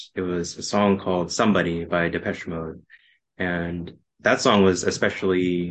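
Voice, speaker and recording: A man with an American accent speaks in a very deep, low pitch, with monotone, flat intonation and a fairly slow pace. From Texas, Austin. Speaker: podcast guest sharing love story. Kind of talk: casual chat.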